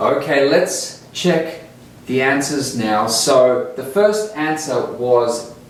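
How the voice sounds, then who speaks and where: Speaking very slowly with an Australian accent, a man uses lively intonation amid noticeable background noise and audible room echo. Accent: Australian English, non-rhotic. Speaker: English teacher. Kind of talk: tutorial. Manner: slow and clear.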